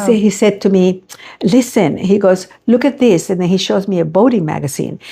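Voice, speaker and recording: Her dark, mellow tone carries lively intonation as the woman speaks at a fairly quick pace. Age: 70s. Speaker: face painter, business founder. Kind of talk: interview answer. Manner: chatty storytelling.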